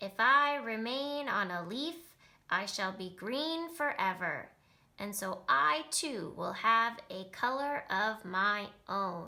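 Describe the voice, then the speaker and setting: A woman puts on a character voice with a fairly high pitch and very wide pitch swings. She speaks at a very slow pace. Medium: read story.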